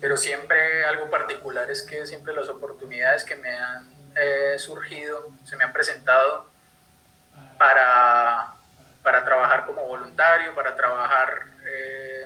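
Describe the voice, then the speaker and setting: Over noticeable background noise, a man with a Colombian accent speaks at a fairly slow pace, his loudness swinging widely. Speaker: conservation project coordinator. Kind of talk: online talk. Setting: live stream video call. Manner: halting, many fillers.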